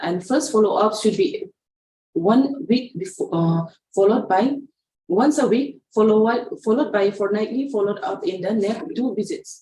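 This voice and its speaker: A woman's somewhat breathy voice sits fairly high in pitch, with a dark, mellow tone and lively intonation. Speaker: pediatric nurse trainer. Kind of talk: online training lecture. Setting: online session. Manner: fast; halting.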